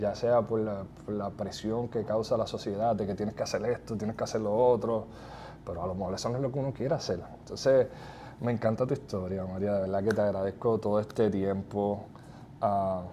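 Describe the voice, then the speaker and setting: Fairly low, dark, mellow male voice at a fairly quick pace. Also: fairly even intonation. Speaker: real estate podcast host. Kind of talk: interview.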